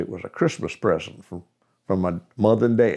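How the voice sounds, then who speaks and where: Recorded very cleanly against a silent background, a man with a Southern US accent talks with ordinary pitch variation. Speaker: amateur radio operator. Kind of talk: interview answer. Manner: storytelling.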